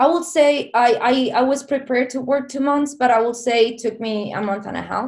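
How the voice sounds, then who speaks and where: In a Spanish accent, the words come at a fairly quick pace with hardly any pauses. The intonation stays fairly even. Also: woman, high pitch for a woman. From southern Spain. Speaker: filmmaker. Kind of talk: interview.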